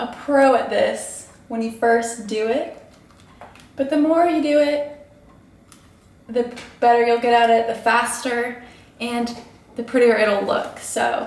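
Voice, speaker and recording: A woman's high voice at a very slow pace, with long, frequent pauses and audible room echo. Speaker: beauty vlogger. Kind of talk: tutorial. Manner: casual, chatty.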